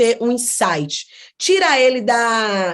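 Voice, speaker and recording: A woman speaks with a fairly high pitch. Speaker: psychologist teaching online class. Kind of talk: online lecture.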